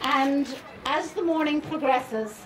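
Noticeable background noise accompanies a woman talking. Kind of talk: public speech, storytelling. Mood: warm, amused. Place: stage. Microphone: handheld.

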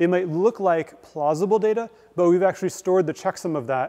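A man talks at a fairly quick pace in a high pitch. The background is quiet. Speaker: guest lecturer. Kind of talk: lecture. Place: hall.

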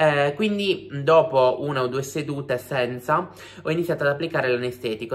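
Medium-pitched male voice at a fairly quick pace with ordinary pitch variation. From Sardinia. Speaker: YouTuber. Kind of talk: vlog monologue. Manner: fast; animated. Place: home room. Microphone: phone near.

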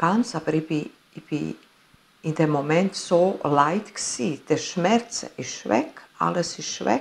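A woman speaks at a very slow pace, with long, frequent pauses. Her very deep, low pitch carries vocal fry. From Italy. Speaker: near-death experience witness; interviewee. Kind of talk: interview testimony. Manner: halting. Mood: earnest, emotional storytelling. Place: home room.

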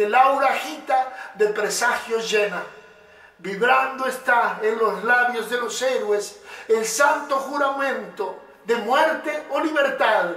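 A man speaks in a raised, projected voice at an extremely high pitch, with ordinary pitch variation. His pace is very slow, and audible room echo surrounds him. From Uruguay. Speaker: poet and motivational speaker. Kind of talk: poetry reading. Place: studio.

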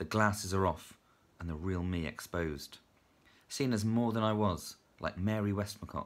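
Speaking with a British accent, a man uses a fairly low pitch with ordinary variation. His pace is moderate, broken by long, frequent pauses. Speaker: teacher and writer. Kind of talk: casual chat to camera, then a poem read aloud. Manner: chatty, hesitant, self-deprecating with filler words. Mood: light, self-deprecating. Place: home room. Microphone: phone near.

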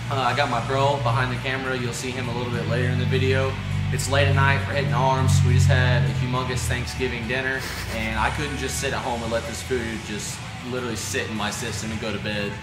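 A man rattles off his words at a very fast pace while music plays behind him. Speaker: fitness vlogger. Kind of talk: casual vlog chat. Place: gym.

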